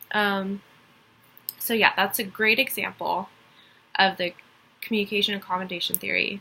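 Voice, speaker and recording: With a slight Texas accent, a woman speaks in a bright, sharp, medium-pitched voice with vocal fry, flat monotone intonation, a moderate pace and long, frequent pauses. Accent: slight Texas accent, some country twang. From Texas (Dallas). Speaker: college student. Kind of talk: class assignment presentation. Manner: hesitant, many fillers.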